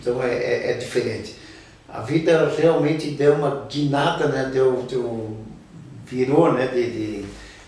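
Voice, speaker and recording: Room echo and noticeable background noise surround a man's fairly high voice. He speaks very slowly with ordinary pitch variation. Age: 70s. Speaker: local musician and community elder. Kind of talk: interview. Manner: halting, many repetitions.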